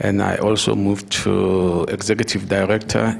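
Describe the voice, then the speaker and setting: Music in the background behind a man's fairly low, fairly slow speech with fairly even intonation. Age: 60s. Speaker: retired education administrator, foundation founder. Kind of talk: interview at leadership dialogue. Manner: halting, with frequent fillers.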